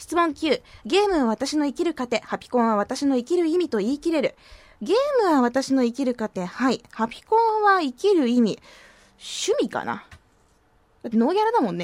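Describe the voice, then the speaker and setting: With high pitch and very wide pitch swings, a woman speaks at a moderate pace in a dry, close sound with no echo. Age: 20s. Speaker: radio DJ. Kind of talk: casual radio talk. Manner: animated.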